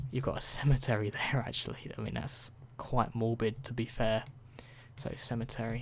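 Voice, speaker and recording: Soft-spoken and somewhat breathy, a man with a British accent talks at a moderate pace in a medium-pitched voice with monotone, flat intonation. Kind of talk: ASMR game review. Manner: softer than usual.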